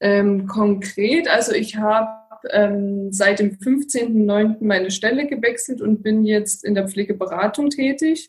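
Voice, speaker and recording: A woman's fairly high voice at a very slow pace with hardly any pauses, ordinary pitch variation and very even loudness, music in the background. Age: 30s. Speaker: geriatric nurse and care advisor. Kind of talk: interview.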